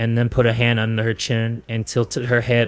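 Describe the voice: Text read aloud plainly.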